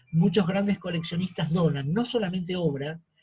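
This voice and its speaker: Here a man with an Argentine accent and a high pitch talks at a fairly slow pace. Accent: Rioplatense Argentine Spanish. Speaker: art history lecturer. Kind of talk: lecture. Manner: frequent fillers and self-corrections.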